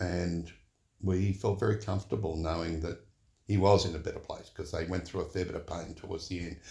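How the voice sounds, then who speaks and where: A man's very deep, low voice with an Australian accent, somewhat breathy, with a dark, mellow tone and fairly even intonation. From Sydney, Australia. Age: 70s. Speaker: church member and retired HR executive. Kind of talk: casual interview conversation about faith. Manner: thoughtful, witty.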